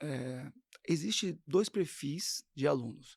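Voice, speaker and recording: Here is a man with a plain, everyday voice and ordinary pitch variation. The recording is very clean, with a silent background. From São Paulo, Brazil. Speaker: gospel singer and voice teacher. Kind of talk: interview.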